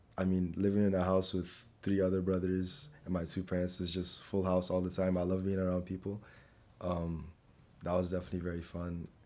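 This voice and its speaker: Speaking at a fairly quick pace with an American accent, a man has a very deep, low pitch, a dark, mellow tone and monotone, flat intonation. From Nigeria. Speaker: scholarship applicant. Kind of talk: interview. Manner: casual, with filler words.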